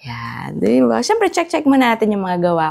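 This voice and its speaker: A woman is speaking. Her tone is dark and mellow. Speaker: vlogger. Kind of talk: casual vlog talk.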